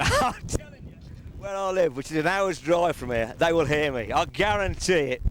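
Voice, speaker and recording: Loud and high-pitched, a man speaks at a moderate pace with lively intonation. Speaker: stock car racing driver. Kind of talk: pre-race interview. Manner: animated.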